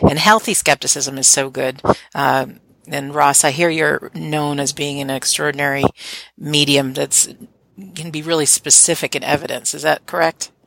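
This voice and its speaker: A woman with a very deep, low pitch and vocal fry, fairly even intonation, a moderate pace, and a dry, close sound with no echo. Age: 50s. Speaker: podcast host. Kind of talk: interview. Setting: Skype call.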